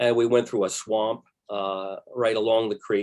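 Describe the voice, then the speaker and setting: Here a man speaks with an American accent. His pitch is medium and his pace fairly slow. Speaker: retired newspaper reporter and author. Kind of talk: history presentation. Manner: halting with many fillers.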